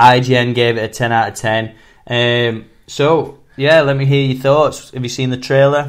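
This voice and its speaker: A man speaks with a strong Sheffield accent at a moderate pace. His medium-pitched voice stays monotone, with flat intonation. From northern England, Sheffield. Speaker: film podcast host. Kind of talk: casual chat. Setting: podcast recording.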